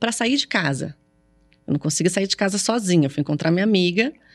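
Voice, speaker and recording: Very clean recording of a woman's medium-pitched voice against a silent background. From São Paulo, Brazil. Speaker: comedian. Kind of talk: casual interview chat. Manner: stuttering.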